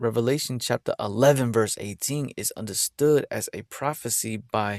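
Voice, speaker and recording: A man at a moderate pace with ordinary pitch variation, very clean recording and silent background, dry and close with no echo. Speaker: religious video host. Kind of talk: bible teaching. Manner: halting.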